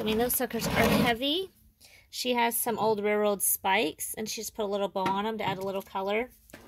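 A woman's moderately paced speech shows ordinary pitch variation, with noticeable background noise around it. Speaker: reseller touring a booth. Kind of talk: casual vlog chat. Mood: warm, nostalgic. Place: shop. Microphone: phone near.

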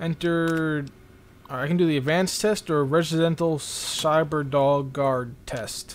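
In a plain, everyday voice, a man with a fairly high pitch talks at a fairly slow pace with fairly even intonation. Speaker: gaming YouTuber. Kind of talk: casual gameplay commentary. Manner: casual, rambling, thinking aloud.

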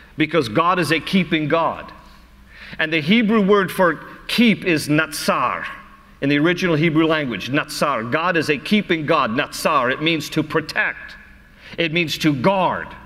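This man talks at a moderate pace, his pitch fairly high with ordinary variation. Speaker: pastor. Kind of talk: sermon, Bible teaching to a congregation. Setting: live church service in front of an audience. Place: church. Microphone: lapel.

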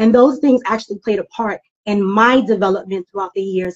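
Over a quiet background, the speaker uses ordinary pitch variation in a New York accent. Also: woman. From East New York, Brooklyn. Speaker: guest speaker, personal and professional development consultant. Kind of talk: interview answer. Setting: live social media stream. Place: home room. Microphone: video call.

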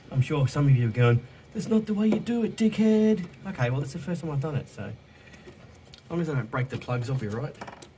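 A man at a fairly high pitch, very fast pace and very wide pitch swings, broken by long, frequent pauses, over noticeable background noise. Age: 40s. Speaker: car repair youtuber. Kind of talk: tutorial. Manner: casual, halting.

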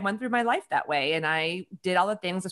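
Against a quiet background, a woman with an American accent talks at a fairly quick pace with lively intonation. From US Midwest, Chicago. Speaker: author and women's leadership advisor; podcast guest. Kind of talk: casual interview chat. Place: home room. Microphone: studio mic.

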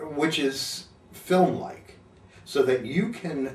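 Vocal fry runs through the voice, which carries audible room echo. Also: man. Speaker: video producer reviewing a camcorder. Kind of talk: casual product review talk. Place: studio.

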